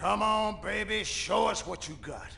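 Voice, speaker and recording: Against clear background noise, a man does a put-on character voice, high-pitched for a man, at a moderate pace. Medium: video game. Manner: blustery, folksy exclamations.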